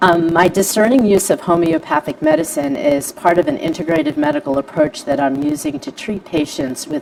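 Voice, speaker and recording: Lively intonation marks this woman's speech in a fairly low pitch. Noticeable background noise sits behind her. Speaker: homeopathic practitioner. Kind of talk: panel presentation. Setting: Facebook live stream. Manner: fast.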